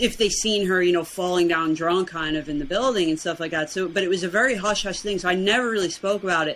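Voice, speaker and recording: A woman's medium-pitched voice with an American accent and lively intonation. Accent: New York accent, noticed by others. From Brooklyn, New York. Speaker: weight loss challenge winner. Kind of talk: podcast interview.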